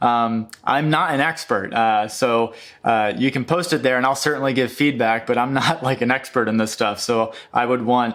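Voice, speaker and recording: The speech is mumbled at a moderate pace. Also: man. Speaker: YouTuber on UX design. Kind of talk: casual screen-share walkthrough. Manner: hesitant, many fillers; mumbling.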